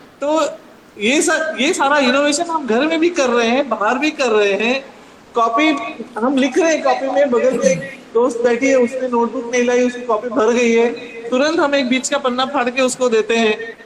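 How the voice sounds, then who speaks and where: Noticeable background noise sits under this recording. A woman speaks at a moderate pace with a high pitch and ordinary pitch variation. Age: 60s. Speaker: workshop speaker. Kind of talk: motivational talk to students. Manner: conversational, addressing audience directly.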